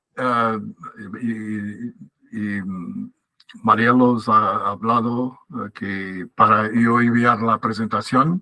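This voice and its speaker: The tone is bright and sharp. The speaker has a non-native accent. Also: man. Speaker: academic speaker. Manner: halting.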